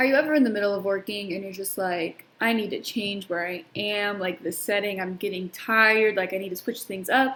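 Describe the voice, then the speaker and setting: In a plain, everyday voice, a woman speaks at a medium pitch with ordinary pitch variation. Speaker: teacher. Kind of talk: recorded lesson.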